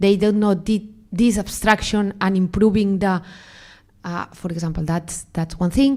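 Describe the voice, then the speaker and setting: A woman's medium-pitched voice with a Spanish accent. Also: ordinary pitch variation, fairly slow pace. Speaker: AI researcher. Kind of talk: panel interview. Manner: halting, many fillers.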